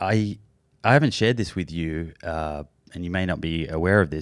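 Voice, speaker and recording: The recording is very clean, with a silent background. A man with an Australian accent speaks at a moderate pace in a very deep, low pitch. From Australia, Melbourne. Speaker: podcast host. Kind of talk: interview.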